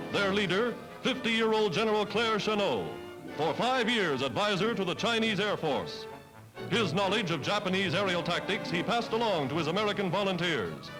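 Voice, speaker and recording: A man with a high pitch speaks at a moderate pace in a solemn, dramatic tone, with ordinary pitch variation and very even loudness. Music plays behind him. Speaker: newsreel narrator. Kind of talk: wartime newsreel narration. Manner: solemn, dramatic, brisk.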